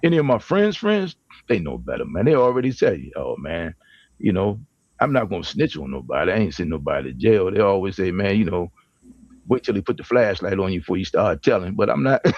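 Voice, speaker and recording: At a very fast pace, a man talks in an animated tone with vocal fry, a fairly low pitch and very wide pitch swings. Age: 60s. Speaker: panel guest on men's talk show. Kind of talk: casual chat.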